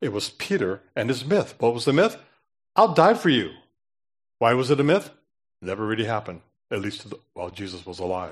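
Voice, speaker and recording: Against a quiet background, a man at medium pitch speaks with very wide pitch swings, big swings in loudness, and long, frequent pauses. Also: fairly quick pace. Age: 70s. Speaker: preacher. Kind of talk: sermon. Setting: church.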